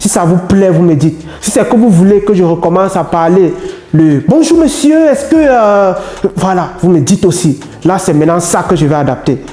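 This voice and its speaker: Through noticeable background noise, a man with a high pitch speaks at a moderate pace, his intonation lively and his loudness very even. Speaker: immigration advice youtuber. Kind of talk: vlog tutorial.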